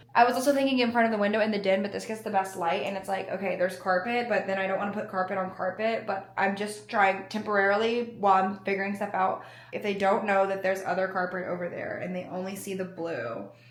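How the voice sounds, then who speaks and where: A woman's medium-pitched voice with an American accent, monotone and flat, at a very fast pace, amid noticeable background noise and audible room echo. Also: hardly any pauses. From US South, Alabama. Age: 20s. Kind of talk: casual vlog talk to camera. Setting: indoors, new apartment.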